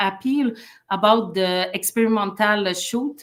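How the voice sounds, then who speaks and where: A woman's medium-pitched voice with a strong French Canadian accent, fairly slow and fairly even in intonation. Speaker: human rights advocate and former lawyer. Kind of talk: interview. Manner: halting, many fillers and restarts.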